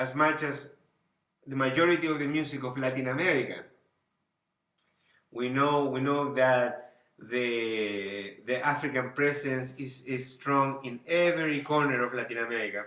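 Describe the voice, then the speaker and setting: A man with a Spanish accent, medium pitch, fairly even intonation and a moderate pace, with audible room echo. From Chile, Santiago. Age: 40s. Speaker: band leader and music teacher. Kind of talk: lecture. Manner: halting, with many repetitions.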